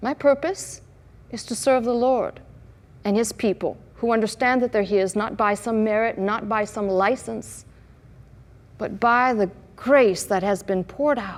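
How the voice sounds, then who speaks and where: With long, frequent pauses, a woman speaks at a fairly high pitch with ordinary pitch variation. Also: fairly slow pace. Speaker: pastor. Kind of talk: sermon to a live congregation.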